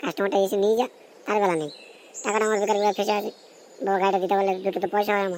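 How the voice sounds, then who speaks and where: A female-sounding, cartoonish character voice rumbles along at a very fast pace and middle pitch. Its intonation stays fairly even over clear background noise. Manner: grumbling, coarse.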